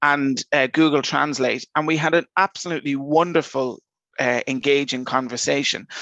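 With an Irish accent, a man speaks at a moderate pace in a fairly high pitch, his intonation fairly even and his loudness very even. The tone is bright and sharp, and the sound is dry and close with no echo. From Ireland, Dublin. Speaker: airport innovation manager. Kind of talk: interview.

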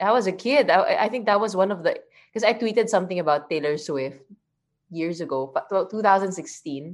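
Over a quiet background, a woman talks at a fairly quick pace with very wide pitch swings. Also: medium pitch for a woman. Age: 30s. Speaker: former pro volleyball player and TV personality. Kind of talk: casual chat.

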